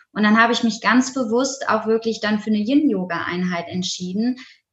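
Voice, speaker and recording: A normal speaking voice from a woman, fairly high in pitch, with fairly even intonation at a moderate pace. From Germany, Essen (Ruhr area). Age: 20s. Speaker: yoga teacher. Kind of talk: interview.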